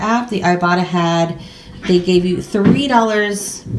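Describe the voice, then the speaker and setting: A woman speaks at a medium pitch with fairly even intonation. Noticeable background noise runs underneath. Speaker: YouTuber doing a grocery haul. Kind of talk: casual haul vlog. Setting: at home at a table. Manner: fast.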